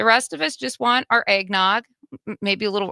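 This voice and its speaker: This woman has a Wisconsin accent and a bright, sharp tone. The recording is dry and close, with no echo. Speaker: radio host. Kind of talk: casual chat.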